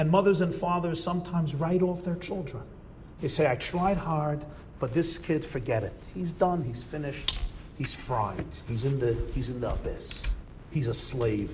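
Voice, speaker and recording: Through noticeable background noise and audible room echo, a man with an American accent speaks with very wide pitch swings. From United States. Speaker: rabbi lecturer. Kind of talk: lecture.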